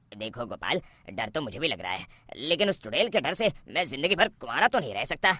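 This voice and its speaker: A man performs a cartoonish character voice, fairly high in pitch with very wide pitch swings. He talks at a fairly quick pace in a nervous tone. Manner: nervous, excitable.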